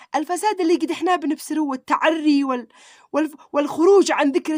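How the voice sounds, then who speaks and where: A woman with a Sanaa accent speaks at a moderate pace in an animated tone, her pitch varying in an ordinary way. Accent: Yemeni Arabic (Sanaani). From Yemen. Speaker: YouTuber. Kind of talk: religious vlog monologue.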